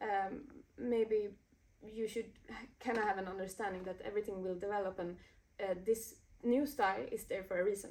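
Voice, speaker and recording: Long, frequent pauses break up a woman's speech at a moderate pace. She has a medium pitch, fairly even intonation and a Swedish accent. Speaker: DJ and music producer. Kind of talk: interview. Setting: recording studio. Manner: halting, many fillers.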